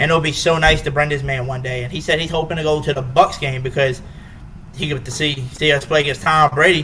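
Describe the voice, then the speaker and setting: Noticeable background noise sits behind a man talking at a very fast pace. His fairly high voice stays monotone and flat. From Louisiana, North Shore near New Orleans. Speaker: YouTube live podcast host. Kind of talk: casual live stream chat.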